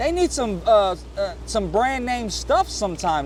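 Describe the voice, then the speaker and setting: An animated man at a moderate pace amid noticeable background noise. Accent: American. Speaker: congressional candidate and fishing vlogger. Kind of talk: casual appeal while vlogging. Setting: outdoors on a boat on a lake.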